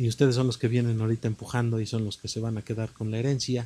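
A man's somewhat breathy voice in a very clean recording with a silent background. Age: 50s. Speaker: musician. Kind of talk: interview.

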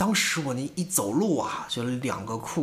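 Noticeable noise sits in the background. Room echo is audible. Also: man. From northern China, Tangshan, Hebei. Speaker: podcast co-host, amateur stand-up comedian. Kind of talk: casual chat.

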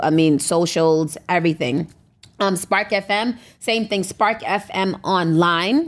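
A woman's normal speaking voice, fairly low in pitch, comes through a very clean recording with a silent background. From US, born in America. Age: 30s. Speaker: radio station owner and DJ. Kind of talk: casual interview chat.

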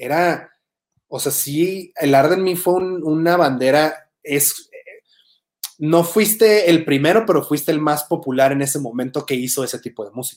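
A man talks with a plain, everyday voice at a moderate pace, his intonation lively. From Tijuana, Mexico. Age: 30s. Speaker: podcast host. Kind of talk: casual interview chat.

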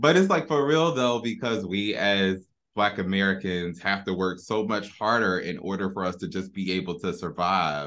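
A man with a normal speaking voice and fairly low pitch talks at a moderate pace with lively intonation and hardly any pauses, over a quiet background. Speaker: podcast host. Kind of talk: casual chat.

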